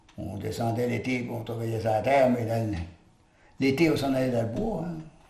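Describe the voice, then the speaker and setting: Audible room echo surrounds this recording. A man speaks at a medium pitch. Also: ordinary pitch variation, fairly quick pace. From northwestern New Brunswick, Restigouche area, partly raised in Montreal. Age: 80s+. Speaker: retired lumberjack and log driver. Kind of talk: oral history interview. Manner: halting, with many filler words.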